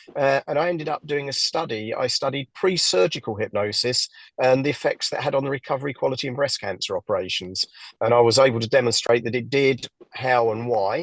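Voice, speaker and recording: A man speaks with an English accent and ordinary pitch variation. The sound is dry and close, with no echo. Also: medium pitch for a man. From southern England, near London. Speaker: hypnotherapist. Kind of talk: interview. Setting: podcast interview. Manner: halting, many fillers.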